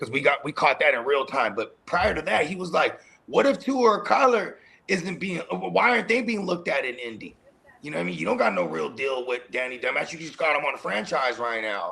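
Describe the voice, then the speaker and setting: Against noticeable background noise, a man talks at a fairly quick pace and a fairly high pitch, with very wide pitch swings. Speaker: fantasy football show host. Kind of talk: casual live show banter. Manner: halting, frequent stammering and fillers.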